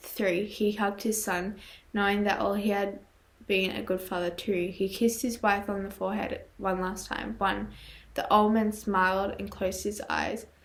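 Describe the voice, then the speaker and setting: The voice is quiet and moves at a moderate pace. Its intonation is monotone and flat. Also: woman. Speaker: YouTuber reading horror stories. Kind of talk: reading aloud with commentary. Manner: halting, stumbles over words.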